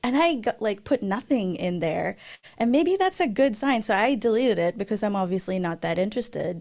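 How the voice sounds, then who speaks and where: A woman with a Filipino accent, fairly high in pitch and fairly quick, making very wide pitch swings, on a very clean recording with a silent background. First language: Tagalog. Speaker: software developer advocate and YouTuber. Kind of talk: conference Q&A.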